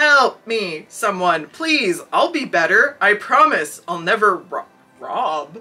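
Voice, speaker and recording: A woman's put-on character voice, fairly high in pitch, with very wide pitch swings, a fairly slow pace, and faint background music. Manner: screaming, pleading in fear.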